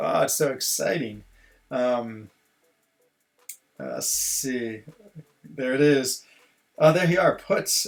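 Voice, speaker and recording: A man with an American accent at a very slow pace, with long, frequent pauses. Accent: sounds very American. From Switzerland (French-speaking) and US. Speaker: gaming streamer. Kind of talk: casual live-stream commentary. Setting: at home. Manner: animated.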